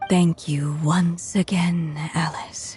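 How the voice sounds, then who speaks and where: Faint music plays behind a cartoonish character voice delivered at a middle pitch with monotone, flat intonation. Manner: soft, reflective.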